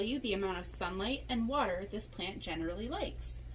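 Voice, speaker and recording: At a moderate pace, a woman talks while noticeable background noise carries on behind her. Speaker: plant shop employee. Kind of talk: scripted product presentation. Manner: enthusiastic.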